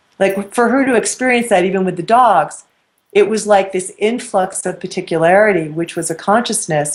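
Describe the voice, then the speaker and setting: A woman uses a normal speaking voice at a medium pitch, a moderate pace and ordinary pitch variation. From New York. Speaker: spiritual teacher. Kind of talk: interview. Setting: web show interview.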